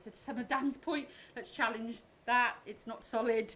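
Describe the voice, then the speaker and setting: This woman speaks with a Welsh accent. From Wales. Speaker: agile coach. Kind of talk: conference talk. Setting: stage with audience. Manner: fast.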